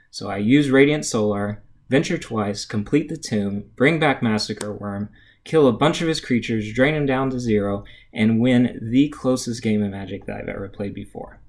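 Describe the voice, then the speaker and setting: A man with a normal speaking voice talks at a moderate pace and medium pitch, with ordinary pitch variation. His loudness swings a lot on a very clean recording with a silent background. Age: 30s. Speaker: engineer and game player auditioning. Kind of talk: scripted audition monologue / storytelling.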